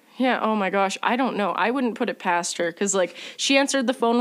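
A woman with an ordinary speaking voice, ordinary pitch variation, and a fairly quick pace, on a very clean recording with a silent background. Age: 20s. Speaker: podcast host. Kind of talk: casual chat.

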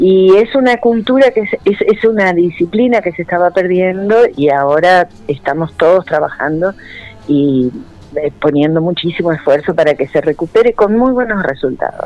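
With lively intonation and a medium pitch, a woman talks at a moderate pace over noticeable background noise. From Santa Fe, Argentina. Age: 60s. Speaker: ceramicist and art school director. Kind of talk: radio interview.

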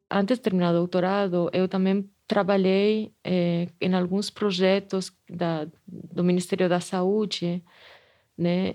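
A woman with a Spanish accent speaks at a very slow pace and medium pitch, her intonation monotone and flat. The background is quiet. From Spain. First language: Spanish (speaking Portuguese). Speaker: anthropology professor and museum director. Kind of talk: interview testimony. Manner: hesitant with repetitions.

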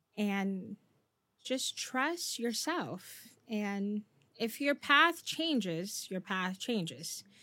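In a very clean recording with a silent background, a woman with an American accent speaks loudly and very slowly at a fairly high pitch, her bright, sharp tone swinging through very wide pitch changes. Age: 20s. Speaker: streamer and content creator. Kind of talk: casual interview chat. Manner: animated, loud, high energy.

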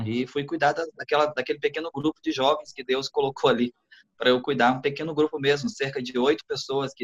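In an ordinary speaking voice, a man talks at a fairly quick pace with a medium pitch and ordinary pitch variation, the sound dry and close with no echo. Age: 40s. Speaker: pastor. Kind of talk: casual chat.

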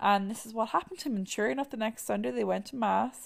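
A woman speaks with an Irish accent. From Ireland. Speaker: podcast host. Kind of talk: casual chat mixed with read-out research narration. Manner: many fillers (um, like).

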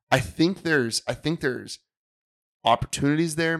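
A man talks fairly quickly at a fairly high pitch in an ordinary speaking voice, with a dry, close sound and no echo. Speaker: basketball coach and co-host.

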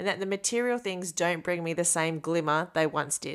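The voice is a normal speaking voice with ordinary pitch variation. The recording is very clean, with a silent background. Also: woman. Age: 40s. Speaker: podcast host. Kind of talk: personal reflection monologue.

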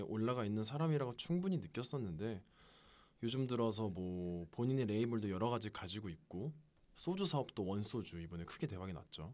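A man's plain, everyday voice at medium pitch, fairly quick in pace, with lively intonation. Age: 20s. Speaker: salesperson. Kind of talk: casual chat. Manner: formal.

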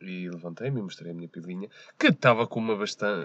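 A man speaks with ordinary pitch variation. He goes at a very fast pace. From Portugal, Porto area. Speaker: podcast guest. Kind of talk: casual chat. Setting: parked car.

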